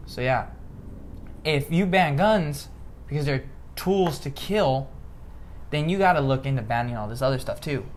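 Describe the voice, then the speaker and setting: An American-accented man speaks with a fairly high pitch and lively intonation. Long, frequent pauses break up his speech amid audible room echo. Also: moderate pace. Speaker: political commentary podcast host. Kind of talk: casual political discussion. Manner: occasional stutter; animated, emphatic.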